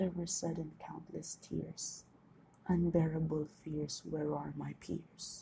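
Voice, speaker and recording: A woman speaks at a very slow pace with vocal fry. Her fairly low voice has a dark, mellow tone. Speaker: podcaster and amateur author. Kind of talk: reading own poems aloud; casual solo talk. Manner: halting, self-correcting.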